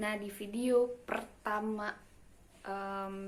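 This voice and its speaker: A woman's medium-pitched voice, fairly even intonation, noticeable background noise. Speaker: new mother. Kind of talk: casual talk to camera.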